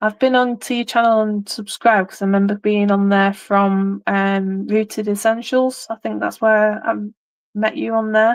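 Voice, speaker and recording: A woman speaks at a fairly high pitch. Her intonation is monotone and flat against a quiet background. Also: moderate pace. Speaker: craft live streamer. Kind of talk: casual chat. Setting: live stream.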